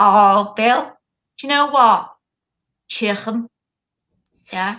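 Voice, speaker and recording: Speaking at a very slow pace, the woman has a fairly high pitch and a bright, sharp tone. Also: ordinary pitch variation. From Liverpool, England. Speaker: webinar co-host. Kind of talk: casual chat.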